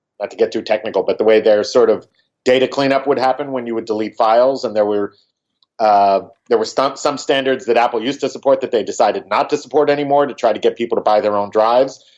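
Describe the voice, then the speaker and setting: With a plain, everyday voice, a man talks at a medium pitch. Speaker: podcast co-host, audio engineer. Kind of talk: casual chat. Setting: Skype call from hotel.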